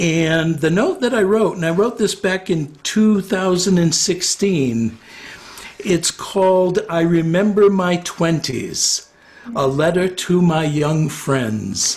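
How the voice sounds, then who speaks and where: Against noticeable background noise, a man with a high pitch speaks very slowly, with ordinary pitch variation and very even loudness. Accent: American. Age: 60s. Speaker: retired psychotherapist. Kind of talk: interview. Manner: hesitant, many fillers.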